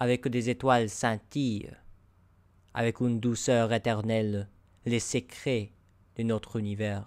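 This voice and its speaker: A man with an American accent, medium in pitch, monotone and flat, very slow, on a very clean recording with a silent background. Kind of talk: narrated story.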